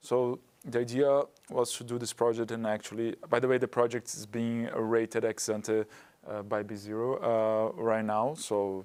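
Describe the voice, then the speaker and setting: A man's monotone, flat intonation with a Portuguese accent. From Brazil. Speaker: carbon project developer. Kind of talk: webinar panel discussion.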